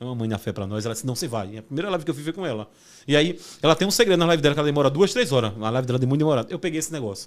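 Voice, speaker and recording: The man's voice sits fairly high. He talks at a very fast pace. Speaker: pastor. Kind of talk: testimony.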